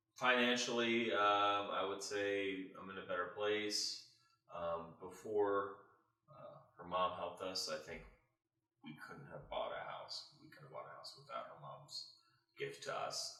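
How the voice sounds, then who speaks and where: A man with an American accent at a fairly slow pace, long and frequent pauses, big swings in loudness, and audible room echo. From Modesto, California. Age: 30s. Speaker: homeowner, social worker. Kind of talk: interview. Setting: at home.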